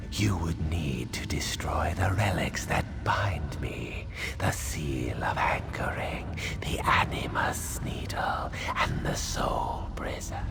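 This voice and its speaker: Someone whispers in a put-on character voice at a fairly slow pace over loud background noise. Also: man. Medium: machinima. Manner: formal, archaic.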